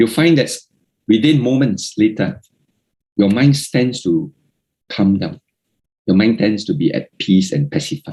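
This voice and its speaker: A dark, mellow tone carries very wide pitch swings. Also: man. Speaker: Buddhist Dhamma speaker. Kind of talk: Dhamma talk. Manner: slow.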